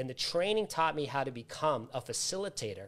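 With an American accent, a man speaks at a fairly high pitch with very wide pitch swings. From US Northeast, Massachusetts. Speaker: author, trainer and recovery coach; coach guest. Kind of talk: live interview. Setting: live online video stream. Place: home room.

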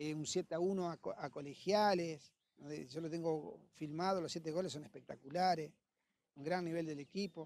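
A man with a plain, everyday voice, fairly high pitch, fairly even intonation, a moderate pace, and a dry sound with no echo. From Argentina, Entre Ríos (San José de Feliciano); Entre Ríos, Argentina. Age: 50s. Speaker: football coach and former player; football coach. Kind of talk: interview. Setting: football stadium. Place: stadium. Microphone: handheld.

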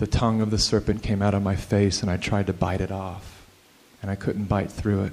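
In a dark, mellow tone, a man talks at a moderate pace with a fairly low pitch. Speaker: filmmaker. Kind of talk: live storytelling monologue. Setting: live event audience. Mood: earnest, confessional. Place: hall. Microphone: handheld.

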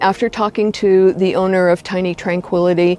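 A woman's dark, mellow, fairly low voice, flat and monotone at a moderate pace, dry with no echo. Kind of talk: home tour explanation. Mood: warm, content. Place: garden.

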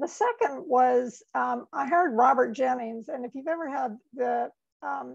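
The background stays quiet while a woman talks at a fairly slow pace. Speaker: webinar presenter. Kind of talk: lecture. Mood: warm, self-deprecating, laughing. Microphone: webcam.

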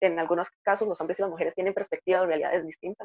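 A woman with a Costa Rican accent is recorded with a dry, close sound and no echo. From Costa Rica, Heredia. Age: 20s. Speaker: engineering student. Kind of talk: interview testimony.

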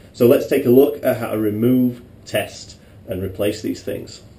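Audible room echo surrounds a moderate pace and ordinary pitch variation. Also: man. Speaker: presenter. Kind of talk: tutorial. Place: garage. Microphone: camera far.

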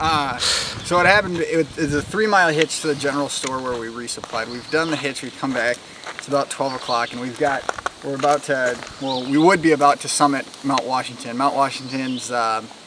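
A man speaks at a fairly quick pace, the sound dry with no echo, while noticeable background noise continues. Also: ordinary pitch variation. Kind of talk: casual vlog chat. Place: open country. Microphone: phone near.

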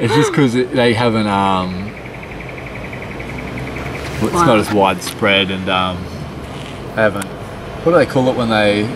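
A man talks at a medium speed, with normal pitch movement and long, frequent pauses, as background noise is clearly audible. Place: garden. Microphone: phone near.

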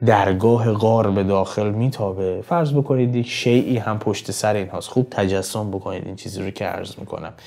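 With music in the background, a man talks at a fairly quick pace with hardly any pauses. His pitch is fairly low, with ordinary variation. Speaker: poetry interpreter, channel host. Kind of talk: lecture. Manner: formal.

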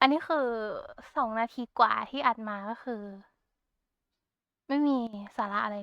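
Bright and sharp in tone, a woman speaks at a high pitch with lively intonation. The very clean recording has a silent background and a dry, close sound with no echo. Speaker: Vtuber. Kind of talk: casual talk to camera, rambling. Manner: cute, chatty.

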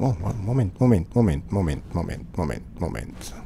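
A somewhat breathy voice with a dark, mellow tone moves at a fairly slow pace with lively intonation. Light background noise is present. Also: man. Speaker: gaming video host. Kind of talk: let's play commentary. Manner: casual, upbeat. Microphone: studio mic.

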